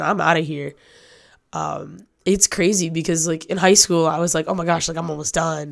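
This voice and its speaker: A woman's fairly low, normal speaking voice, a normal speaking voice at a moderate pace with fairly even intonation, in a very clean recording with a silent background. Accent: American. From northern Michigan. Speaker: college student athlete and PA announcer. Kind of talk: casual interview.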